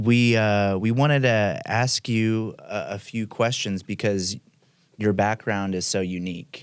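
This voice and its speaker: A man's normal speaking voice, fairly low in pitch, with ordinary pitch variation at a fairly slow pace, in a very clean recording with a silent background. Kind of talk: interviewer.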